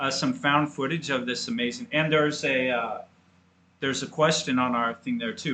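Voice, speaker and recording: At a moderate pace, a man with an ordinary speaking voice talks with fairly high pitch and lively intonation. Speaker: podcast co-host, college football fan. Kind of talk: casual sports podcast chat.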